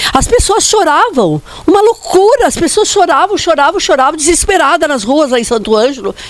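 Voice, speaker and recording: Her pace is neither fast nor slow. The woman's pitch leaps up and down over a very broad range. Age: 70s. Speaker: daughter of an honoured politician. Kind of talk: personal testimony at a commemoration.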